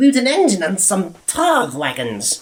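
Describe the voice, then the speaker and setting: This put-on character voice moves at a moderate pace. Its pitch swings very widely. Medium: read story.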